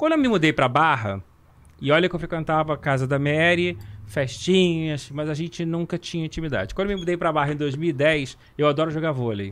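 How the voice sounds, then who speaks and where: This man has an ordinary speaking voice, pitched fairly high, moving at a fairly quick pace with ordinary pitch variation. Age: 50s. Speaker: talent agent. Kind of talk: casual chat.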